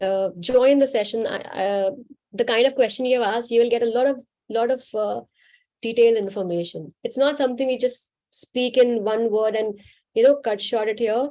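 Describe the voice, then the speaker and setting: Speaking with an Indian accent, a woman has a fairly high pitch. Her pace is moderate and her pitch variation ordinary. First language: Hindi. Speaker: spiritual healer. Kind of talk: live Q&A session.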